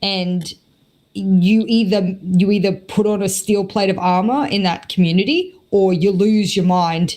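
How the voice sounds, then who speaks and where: In an Australian accent, a woman speaks at a medium pitch and a fairly slow pace. Her tone is dark and mellow. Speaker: esports caster and analyst. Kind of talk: podcast interview. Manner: animated.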